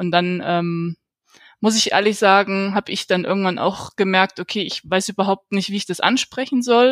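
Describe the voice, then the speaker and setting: A woman talks at a moderate pace with fairly even intonation in a normal speaking voice, on a very clean recording with a silent background and a dry, close sound with no echo. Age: 30s. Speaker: exchange organisation employee and host mother. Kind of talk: casual interview.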